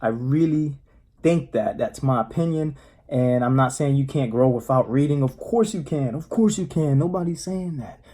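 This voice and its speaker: In a very clean recording with a silent background, a man speaks at a moderate pace in a fairly high, somewhat breathy voice with a dark, mellow tone and ordinary pitch variation. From US, Spanish-speaking home. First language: Spanish. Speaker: motivational vlogger. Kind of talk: casual monologue. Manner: casual, halting with fillers.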